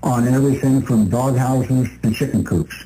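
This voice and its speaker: A man with a dark, mellow tone and a somewhat breathy voice speaks at a fairly slow pace. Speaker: radio show co-host. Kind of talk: radio talk show. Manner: stutters.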